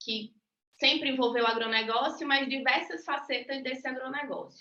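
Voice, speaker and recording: In a Rio Grande do Norte accent, a woman raises and projects her high-pitched voice, with a bright, sharp tone, fairly even intonation and a moderate pace. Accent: northeastern Brazilian (potiguar). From Natal, Rio Grande do Norte, Brazil. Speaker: university professor. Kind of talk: lecture.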